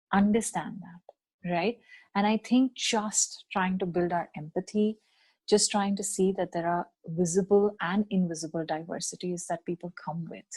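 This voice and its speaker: A woman's somewhat breathy, medium-pitched voice at a moderate pace, fairly even in intonation, dry and close with no echo, against a quiet background. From India. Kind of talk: podcast interview.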